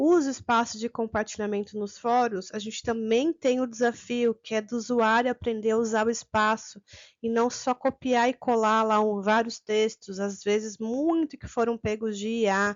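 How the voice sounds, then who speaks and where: A woman speaks in an ordinary speaking voice, pitched fairly high. Her intonation is fairly even, her pace moderate, with hardly any pauses. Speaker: teacher trainer. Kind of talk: online course lecture. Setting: recorded video with sign interpreter.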